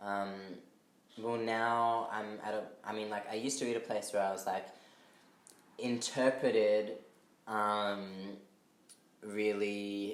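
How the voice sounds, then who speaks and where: A fairly low-pitched man's voice, very slow and fairly even in intonation, with audible room echo. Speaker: artist. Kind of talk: casual chat. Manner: halting.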